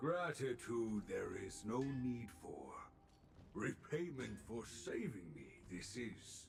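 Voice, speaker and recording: A man in a put-on character voice at medium pitch, very slow, with clear background noise. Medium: video game. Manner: inverted word order, measured.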